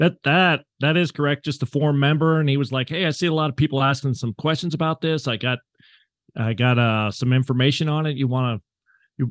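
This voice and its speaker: An ordinary speaking voice at a fairly quick pace, with ordinary pitch variation, a dry, close sound with no echo, and a quiet background. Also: man. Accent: American. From Southeastern Utah, US. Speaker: hunter and forum moderator. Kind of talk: casual interview chat.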